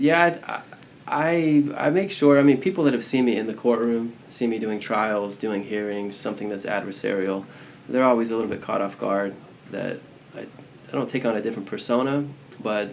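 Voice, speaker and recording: Noticeable background noise and audible room echo surround this recording. A man speaks at a moderate pace and medium pitch, with ordinary pitch variation. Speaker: criminal defense attorney. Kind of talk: casual chat. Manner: laid back.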